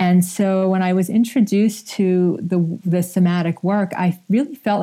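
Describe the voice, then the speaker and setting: A woman speaks at a medium pitch with a dark, mellow tone, a somewhat breathy quality, fairly even intonation, very even loudness and hardly any pauses. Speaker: somatic therapist and author. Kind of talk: radio interview.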